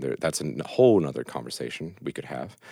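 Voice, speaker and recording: A man speaks in an American accent with a very deep, low pitch and vocal fry. The sound is dry and close, with no echo. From West Virginia. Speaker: network engineer and law school applicant. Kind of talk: casual chat.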